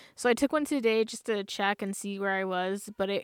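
At a fairly quick pace, an unremarkable speaking voice comes through a very clean, dry, close recording with no echo and a silent background. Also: woman. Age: 30s. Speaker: student and podcast co-host. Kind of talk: casual chat. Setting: outdoors at a campground.

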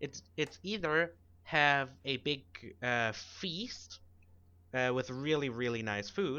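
In a German accent, a man speaks at a very slow pace. His fairly high voice carries lively intonation. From Germany. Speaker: podcast co-host. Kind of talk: casual chat.

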